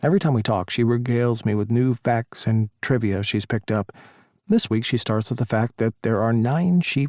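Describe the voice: The speaker uses plain reading aloud with ordinary pitch variation.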